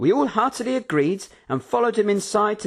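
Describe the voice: What we hear is plain reading aloud.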